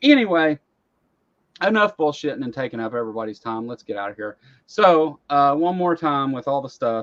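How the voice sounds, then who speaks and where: A man with a Southern US accent, fairly high-pitched, with big swings in loudness and long, frequent pauses. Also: dry, close sound with no echo. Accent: rural Southern US accent, noticeable. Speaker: talk show host. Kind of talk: casual chat. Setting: live online stream.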